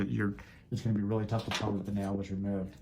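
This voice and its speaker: A man's fairly low, dark and mellow voice in a monotone, flat intonation. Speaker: foot doctor doing procedures on camera. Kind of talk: narrated medical procedure with patient chat. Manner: casual play-by-play narration; soothing.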